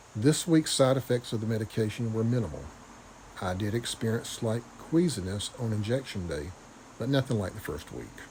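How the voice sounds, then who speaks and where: A man speaks with a strong Southern US accent at a fairly quick pace. His intonation is lively. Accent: deep Southern. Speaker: vlogger. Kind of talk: video diary. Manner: stumbling on words.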